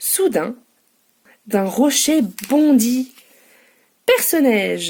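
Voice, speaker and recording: A woman speaks with a dark, mellow tone at a high pitch. Her pitch swings very widely. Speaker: bookseller. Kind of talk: children's story reading.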